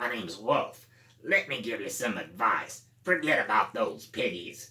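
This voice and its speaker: A man performs a put-on character voice. He goes at a moderate pace. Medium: read story. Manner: chummy, chuckling.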